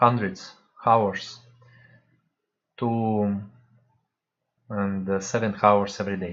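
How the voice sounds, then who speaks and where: Audible room echo surrounds a man with a fairly low pitch who speaks very slowly in a monotone, flat intonation, leaving long, frequent pauses. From Russia. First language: Russian. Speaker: spiritual practitioner. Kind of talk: online talk. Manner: halting.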